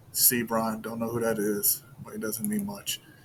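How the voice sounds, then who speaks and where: This man speaks at a moderate pace in a medium pitch, his intonation flat and monotone, over noticeable background noise. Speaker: sports betting video creator. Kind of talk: casual solo commentary on betting picks.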